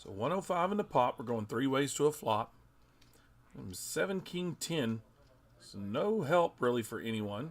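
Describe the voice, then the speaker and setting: A man's medium-pitched voice at a moderate pace, with very wide pitch swings and big swings in loudness. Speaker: poker commentator. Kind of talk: live commentary. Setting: poker room live stream. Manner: stumbling over words.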